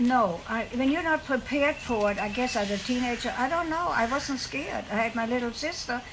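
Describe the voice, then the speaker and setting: In a German accent, a woman talks at a fairly quick pace with hardly any pauses and ordinary pitch variation, against noticeable background noise. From Germany, Siegen (Westphalia). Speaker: war survivor. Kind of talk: interview, personal storytelling. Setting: at a ranch home. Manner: halting.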